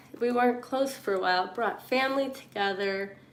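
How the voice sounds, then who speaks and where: At a moderate pace and with fairly even intonation, a woman talks while audible room echo lingers around her. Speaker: livestreamer. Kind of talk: live stream monologue. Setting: live stream. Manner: halting, filler-heavy.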